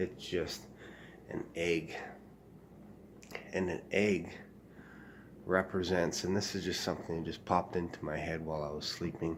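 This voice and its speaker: Speaking at a moderate pace with long, frequent pauses, a man keeps a very deep, low pitch and monotone, flat intonation. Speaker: aspiring writer vlogger. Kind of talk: casual vlog. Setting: at home early morning. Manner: halting, many fillers.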